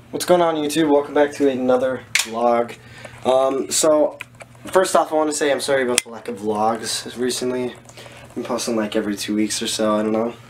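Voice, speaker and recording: Fairly quick speech from a man, ordinary pitch variation, noticeable background noise throughout. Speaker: fitness vlogger. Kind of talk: casual vlog chat. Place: home room. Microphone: phone near.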